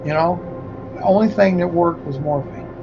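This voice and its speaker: With music playing in the background, a man speaks in a high pitch with ordinary pitch variation. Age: 60s. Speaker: livestreamer. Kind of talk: casual monologue. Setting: livestream. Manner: animated.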